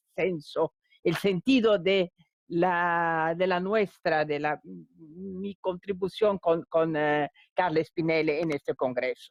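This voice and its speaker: At a very slow pace, a woman with a non-native accent speaks in a dry, close sound with no echo. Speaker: law academic, panelist. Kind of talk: conference talk. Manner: halting, many repetitions.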